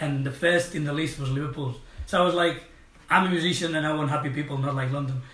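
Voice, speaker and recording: A man with a Spanish accent speaks very fast at a fairly high pitch, keeping his intonation fairly even amid audible room echo. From Spain, Catalonia. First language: Catalan or Spanish. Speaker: musician. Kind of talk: casual interview. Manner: halting.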